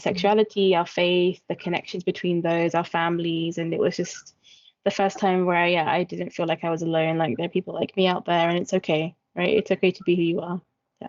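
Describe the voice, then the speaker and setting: A woman speaks at a fairly quick pace with a British accent. Her pitch sits fairly low and her intonation stays monotone and flat. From UK. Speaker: peer facilitator. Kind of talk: interview answer.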